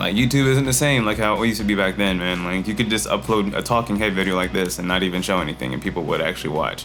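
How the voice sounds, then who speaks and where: Over music in the background and audible room echo, a man with a fairly low pitch races along at a very fast pace, with lively intonation and hardly any pauses. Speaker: filmmaker and YouTuber. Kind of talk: casual vlog talk to camera. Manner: stutters a bit.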